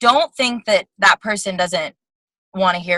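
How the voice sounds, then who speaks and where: A woman's bright, sharp tone comes through at a moderate pace in a dry, close sound with no echo. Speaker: business coach. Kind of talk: motivational talk.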